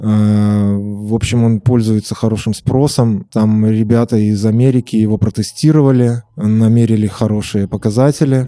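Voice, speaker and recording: With a dark, mellow tone, a man of medium pitch speaks at a moderate pace and with fairly even intonation. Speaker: synthesizer maker. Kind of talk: interview.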